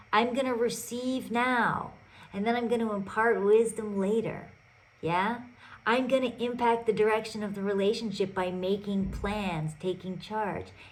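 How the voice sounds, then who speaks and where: A woman speaks at a moderate pace in a fairly high voice with fairly even intonation. Audible room echo surrounds her. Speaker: podcast host and relationship coach. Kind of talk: solo podcast monologue. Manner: loud.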